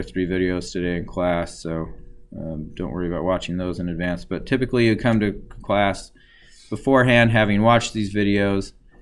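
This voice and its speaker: The voice shows ordinary pitch variation, with audible room echo. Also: man. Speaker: university statistics lecturer. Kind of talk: lecture. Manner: slow; halting, many fillers.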